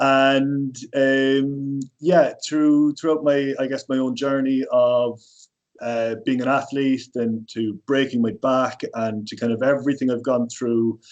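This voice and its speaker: A man speaks with an Irish accent. His pace is very slow. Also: medium pitch for a man, fairly even intonation. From Ireland. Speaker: personal trainer. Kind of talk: podcast interview.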